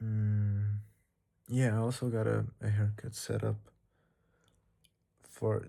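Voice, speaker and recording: This man speaks at a very slow pace. He has a non-native accent. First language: not English. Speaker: vlogger. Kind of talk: casual monologue vlog. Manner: casual, hesitant with repetitions.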